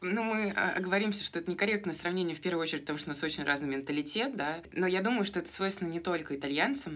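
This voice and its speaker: A woman with ordinary pitch variation. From Moscow, Russia. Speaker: podcast co-host. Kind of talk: casual chat.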